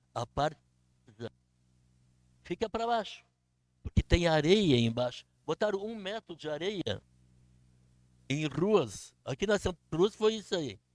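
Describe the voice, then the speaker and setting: A man speaks fairly slowly in a high pitch, with very wide pitch swings. His sound is dry and close with no echo, broken by long, frequent pauses. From southern Brazil, Canoas. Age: 80s+. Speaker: local resident speaking at public hearing. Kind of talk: public comment at town hearing.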